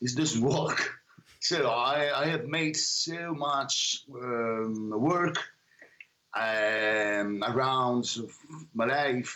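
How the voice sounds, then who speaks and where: Speaking with an Italian accent, a man in a medium pitch moves at a very slow pace with long, frequent pauses, very even loudness and ordinary pitch variation. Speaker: singer-songwriter. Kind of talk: interview. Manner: halting.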